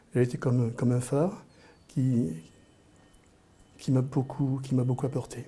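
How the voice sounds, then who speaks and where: A man speaks fairly slowly in a fairly high pitch. His tone is dark and mellow, and somewhat breathy. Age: 60s. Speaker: interviewee. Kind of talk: personal storytelling. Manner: halting, with repetitions.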